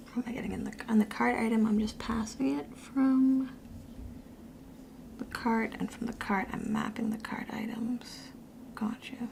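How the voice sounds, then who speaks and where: Against noticeable background noise, a woman with a fairly high pitch speaks at a moderate pace in fairly even intonation, leaving long, frequent pauses. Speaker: coding teacher. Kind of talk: live coding tutorial. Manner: halting, thinking aloud.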